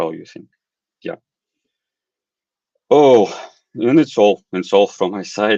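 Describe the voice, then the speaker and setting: A man with a non-native accent speaks at a very slow pace, his pitch fairly low with ordinary variation. The sound is dry and close, with no echo. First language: not English. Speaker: programming course lecturer. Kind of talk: online lecture Q&A. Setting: live online stream with screen share. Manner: halting, many fillers.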